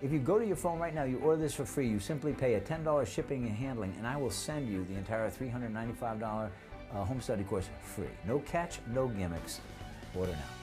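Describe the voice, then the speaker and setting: Music plays clearly behind the voice. A man rattles along at a very fast speed. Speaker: real estate investor and trainer. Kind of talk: infomercial pitch to camera. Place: studio. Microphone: lapel.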